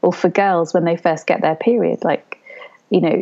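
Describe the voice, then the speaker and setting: A calm, fairly low-pitched woman's voice with a British accent. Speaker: osteopath and doula. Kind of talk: casual chat.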